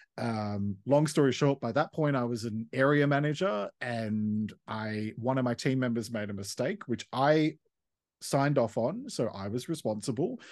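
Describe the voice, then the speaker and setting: Against a quiet background, a man with an Australian accent speaks fairly slowly at medium pitch with ordinary pitch variation. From Australia, Western Sydney. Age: 40s. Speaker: counsellor and podcaster. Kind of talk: casual interview.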